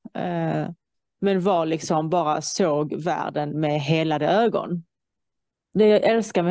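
Over a quiet background, a woman speaks at a fairly low pitch with ordinary pitch variation. The sound is dry and close with no echo. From Iran. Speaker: guest in conversation. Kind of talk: casual chat.

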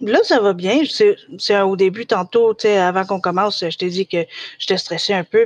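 A woman speaks with a Quebec accent in a dry, close sound with no echo. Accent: Québécois French. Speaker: special education technician. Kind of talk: casual interview. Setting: live recorded podcast.

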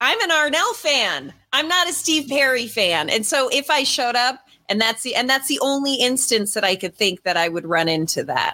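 Bright and sharp in tone, a woman's high-pitched voice is raised and projected at a moderate pace. Her pitch swings very widely. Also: very even loudness. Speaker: podcast host. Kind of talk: casual chat. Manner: playful, teasing.

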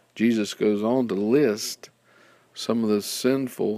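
Here is a normal speaking voice with fairly even intonation. The pace is fairly slow. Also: man. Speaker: prayer guide narrator. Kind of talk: guided prayer instruction, calm scripted narration. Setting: recorded audio guide. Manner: calm, measured, formal.

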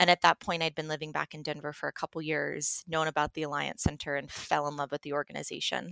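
Pitched very deep and low, a woman with an American accent and vocal fry talks at a very fast pace with hardly any pauses, in a dry, close sound with no echo. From Colorado, Telluride. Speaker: sustainability nonprofit leader. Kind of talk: interview.

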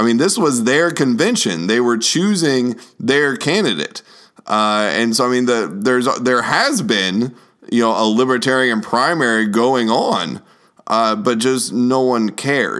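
A man with an American accent speaks at a fairly slow pace in an unremarkable speaking voice, his medium pitch carried by lively intonation. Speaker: podcast host and youth minister. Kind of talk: casual political chat podcast.

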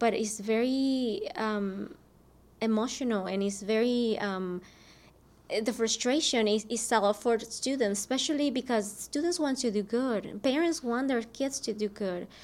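A woman speaks at a fairly slow pace in a Spanish accent, her fairly high voice showing ordinary pitch variation. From Mexico. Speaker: school district program director. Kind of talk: interview.

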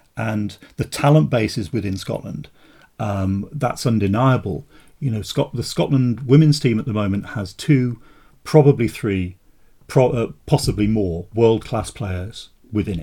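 A man talks at a fairly slow pace with a dark, mellow tone and medium pitch. His voice is somewhat breathy, with lively intonation. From West Midlands, England (Wolverhampton). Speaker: author and school teacher. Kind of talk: podcast interview. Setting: remote call from home.

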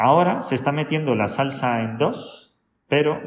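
A man at a fairly slow pace, ordinary pitch variation, audible room echo. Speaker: salsa teacher. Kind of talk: interview. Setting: dance academy.

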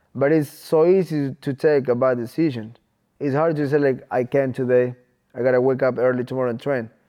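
A man with an unremarkable speaking voice talks at a medium pitch and with fairly even intonation. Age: 20s. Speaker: professional MMA fighter. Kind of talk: casual interview.

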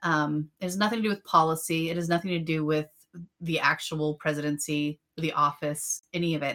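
Speaking at a fairly quick pace with an American accent, a woman with a very deep, low pitch and a bright, sharp tone keeps her intonation fairly even. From western Pennsylvania, between Erie and Pittsburgh. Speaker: podcast co-host. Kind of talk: casual chat.

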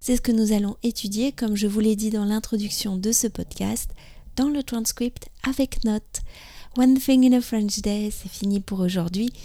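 A woman talks at a fairly slow pace with fairly even intonation and a fairly high pitch. Her tone is dark and mellow, and somewhat breathy. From France. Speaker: podcast host, French teacher. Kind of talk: scripted narration. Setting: outdoors in a park.

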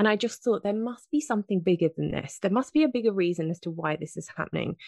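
Very fast, a woman with a British accent speaks in a dry, close sound with no echo. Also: quiet background. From southern England. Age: 40s. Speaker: health and fitness coach. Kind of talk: interview.

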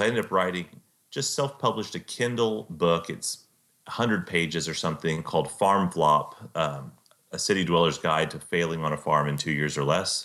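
At a fairly quick pace, a man with a Texan accent speaks at a very deep, low pitch with ordinary pitch variation, in a very clean recording with a silent background. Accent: Texan American. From Central Texas. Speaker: author and computer programmer. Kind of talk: interview.

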